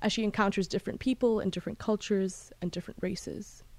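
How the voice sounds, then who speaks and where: With a British accent, a woman speaks at a medium pitch and with fairly even intonation on a very clean recording over a silent background. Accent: international British English. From Bahrain, British international schools. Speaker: book podcast host, graduate student. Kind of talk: book review monologue.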